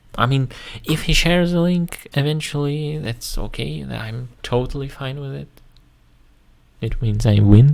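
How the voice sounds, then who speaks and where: Someone with a Russian accent speaks at a fairly slow pace, pausing long and often, with big swings in loudness. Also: man, medium pitch for a man, ordinary pitch variation. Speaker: YouTuber. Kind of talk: casual commentary video. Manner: halting, many fillers.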